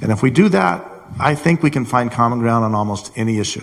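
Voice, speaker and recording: At a very fast pace, a man speaks somewhat breathily at a medium pitch with ordinary pitch variation. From Colorado. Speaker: congressional candidate, former congressman. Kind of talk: candidate forum. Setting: college hall with audience.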